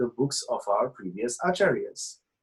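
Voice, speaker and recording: Here a man speaks with a Bengali accent. His voice is somewhat breathy and fairly high in pitch. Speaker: professor. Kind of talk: casual interview. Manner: halting, many fillers.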